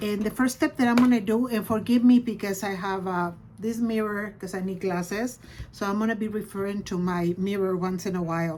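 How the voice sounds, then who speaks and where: An unremarkable speaking voice from a woman, medium in pitch, with fairly even intonation at a moderate pace. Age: 60s. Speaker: beauty vlogger. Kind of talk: tutorial. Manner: casual.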